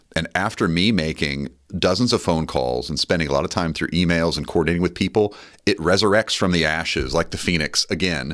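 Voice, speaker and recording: Vocal fry at a fairly quick pace, with ordinary pitch variation. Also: man, very deep, low pitch for a man, quiet background. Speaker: real estate agent. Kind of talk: casual chat. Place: studio. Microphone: studio mic.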